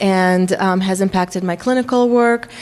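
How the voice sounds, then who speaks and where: With a slight Russian accent, a woman talks at a fairly slow pace with ordinary pitch variation. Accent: faint Russian. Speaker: psychology professor. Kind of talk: workshop lecture. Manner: frequent filler words (um, uh).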